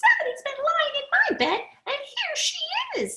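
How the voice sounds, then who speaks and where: This put-on character voice is pitched extremely high and moves at a moderate pace. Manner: crying out.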